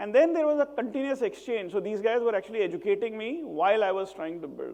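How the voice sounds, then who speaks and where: An extremely high-pitched man with a dark, mellow tone talks at a very fast pace with very wide pitch swings. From northern India (Varanasi/Ghazipur, Uttar Pradesh). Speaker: social entrepreneur, impact investor. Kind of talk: TED-style talk.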